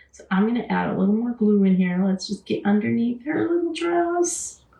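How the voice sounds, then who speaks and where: A woman with an American accent talks at a moderate pace in a fairly high voice, with very wide pitch swings and big jumps in loudness over noticeable background noise. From Wisconsin. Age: 60s. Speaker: craft channel host. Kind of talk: live craft tutorial chatting with viewers. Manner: casual, chatty.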